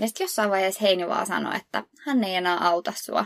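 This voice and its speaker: Recorded with a dry, close sound and no echo, this is a normal speaking voice with ordinary pitch variation. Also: woman. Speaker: podcast co-host. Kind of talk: casual chat.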